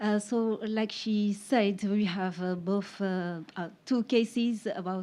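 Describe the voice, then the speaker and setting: A woman in a French accent speaks at a fairly slow pace in a dark, mellow tone, with medium pitch and fairly even intonation. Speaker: investigative journalist. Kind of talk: conference panel presentation. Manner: halting, many fillers.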